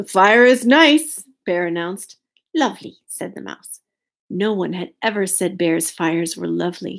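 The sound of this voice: An unforced reading voice over a quiet background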